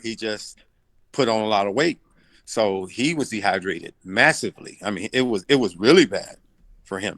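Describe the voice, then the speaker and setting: A man with a Southern US accent is heard in a dry, close sound with no echo and a quiet background. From US South, Arkansas and Tennessee. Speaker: boxing coach. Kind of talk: interview.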